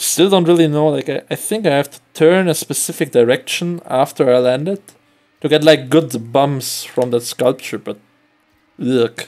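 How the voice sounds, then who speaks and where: A man's fairly high-pitched voice in a German accent, at a moderate pace, with ordinary pitch variation and big swings in loudness over music in the background. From Germany. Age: 20s. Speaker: video game streamer. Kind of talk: live gameplay commentary. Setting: live stream.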